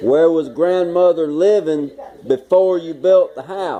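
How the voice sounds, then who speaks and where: Noticeable background noise sits behind a man's voice. He talks fairly slowly at a fairly high pitch. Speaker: son interviewing his father. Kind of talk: interview questions to elderly parent.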